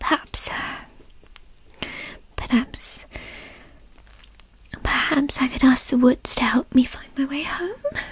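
At a fairly slow pace, a raspy put-on character voice speaks with long, frequent pauses. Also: woman, high pitch for a woman. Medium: role play. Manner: petulant, frustrated.

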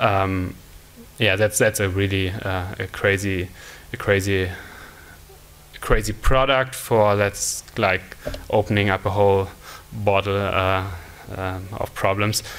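Very slowly and in a monotone, flat delivery, a man with a German accent speaks at a fairly low pitch. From Germany. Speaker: conference speaker, mobile product developer. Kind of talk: conference talk. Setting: stage with audience. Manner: halting, many fillers. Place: stage. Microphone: podium.

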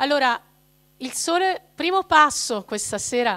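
Against a quiet background, a woman with a high pitch talks at a fairly slow pace with very wide pitch swings. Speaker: speaker. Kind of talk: talk to a parish audience. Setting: parish hall with live audience. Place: hall. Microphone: handheld.

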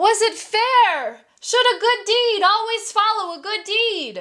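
A woman's put-on character voice, extremely high-pitched and at a fairly slow pace. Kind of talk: children's story reading. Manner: calm, clever.

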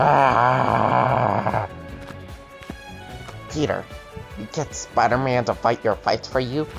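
A man's put-on character voice at a medium pitch and a very slow pace, with clear music in the background

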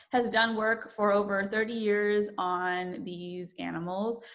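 A woman speaks at a medium pitch with a fairly bright tone. Her pace is slow and her pitch varies in an ordinary way.

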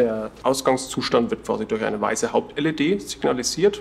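At a moderate pace, a man speaks over light background noise. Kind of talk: product explanation. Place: office. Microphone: lapel.

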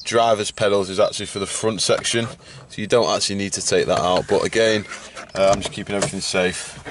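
In a dry recording with no echo and light background noise, a man talks at a fairly quick pace with monotone, flat intonation. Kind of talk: tutorial. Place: car.

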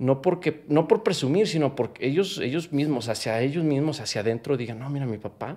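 The man's pitch shows ordinary variation as he talks. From Mexico. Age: 30s. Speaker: professional footballer; interview guest. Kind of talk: interview. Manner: animated. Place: home room. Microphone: studio mic.

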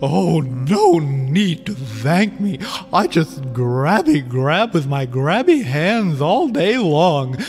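With clear music in the background, a man does a put-on character voice at a fairly high pitch and a very slow pace. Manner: gleeful, playful.

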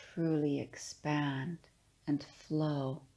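A woman with a very deep, low voice speaks in a soothing, calm, dark and mellow tone with fairly even intonation. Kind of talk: guided meditation. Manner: slow, soothing, calm; gentle, unhurried with pauses.

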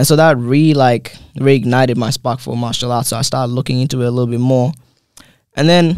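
Fairly quick and fairly even in intonation, the voice comes through dry with no echo. The background is quiet. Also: man. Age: 20s. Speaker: MMA fighter; guest. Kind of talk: casual interview. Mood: calm, reflective. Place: studio. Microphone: studio mic.

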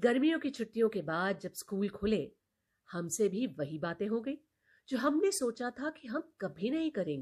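At a fairly slow pace, a woman with a fairly high pitch swings very widely up and down. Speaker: storyteller. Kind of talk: reading aloud.

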